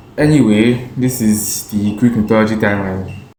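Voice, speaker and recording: Audible room echo surrounds a man's fairly low voice. His intonation stays fairly even. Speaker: amateur video creator. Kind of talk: casual informal explainer. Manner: halting, with hesitations and repeats.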